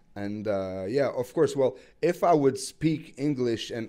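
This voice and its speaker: A man with a Quebec accent speaks in a dark, mellow tone. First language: French. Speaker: rapper. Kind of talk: interview. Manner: halting.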